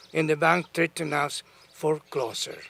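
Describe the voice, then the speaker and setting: A man talks at a moderate pace. Behind him, there is noticeable background noise. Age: 80s+. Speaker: homeowner helped by foreclosure program. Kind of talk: prepared remarks at a press conference.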